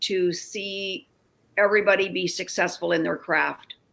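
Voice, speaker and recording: A woman speaks with an unremarkable speaking voice, medium pitch and fairly even intonation. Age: 60s. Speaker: realtor and real estate coach. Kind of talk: interview.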